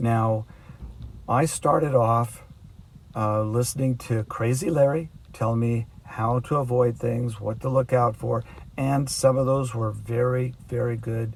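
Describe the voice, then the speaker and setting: A somewhat breathy man at medium pitch, with fairly even intonation and a fairly slow pace. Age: 60s. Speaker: long-distance cyclist. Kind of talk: documentary narration; video diary.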